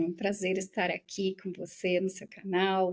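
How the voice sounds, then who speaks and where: The intonation is monotone and flat. The speaker is a woman with a medium pitch. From southern Brazil, Rio Grande do Sul. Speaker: professor and researcher. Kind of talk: interview conversation.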